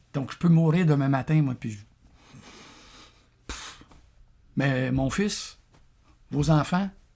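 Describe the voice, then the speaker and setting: Pausing long and often, a man with a Quebec accent speaks at a very slow pace in a fairly high voice with a dark, mellow tone and ordinary pitch variation. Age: 60s. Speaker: vlogger. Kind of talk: casual monologue. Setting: café. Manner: halting, many repetitions.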